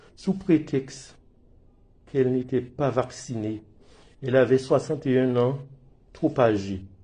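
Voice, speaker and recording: Pausing long and often, a man talks at a medium pitch in a dark, mellow, somewhat breathy tone, with ordinary pitch variation and very even loudness. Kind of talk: emotional personal testimony to camera.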